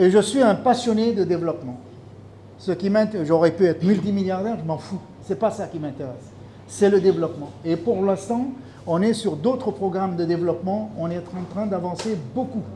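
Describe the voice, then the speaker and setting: Speaking at a moderate pace, a man has a high pitch and a dark, mellow tone. His pitch varies in an ordinary way. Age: 60s. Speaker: fisheries expert. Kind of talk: speech at a launch event.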